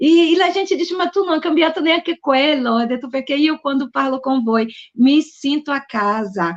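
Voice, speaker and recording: A woman with a Brazilian accent speaks at a moderate pace in a high pitch, her tone animated and her intonation lively. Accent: Brazilian accent in Italian. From Brazil (Bahia). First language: Portuguese (speaking Italian). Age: middle-aged. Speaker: author and publisher. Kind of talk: book presentation interview. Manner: halting.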